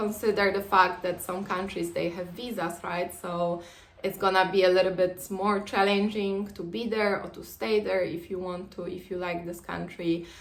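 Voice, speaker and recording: Speaking with a Polish accent, a woman moves at a moderate pace with ordinary pitch variation. Noticeable background noise and audible room echo fill the recording. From Poland. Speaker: vlogger. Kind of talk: casual advice talk to camera. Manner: hesitant, many fillers.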